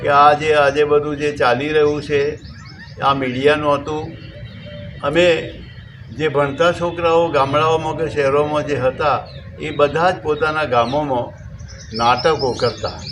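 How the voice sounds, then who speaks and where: Over noticeable background noise and audible room echo, a man speaks in a flat monotone at a fairly high pitch. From north Gujarat, Visnagar area (Mehsana). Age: old. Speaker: folk artist and teacher. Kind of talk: interview monologue.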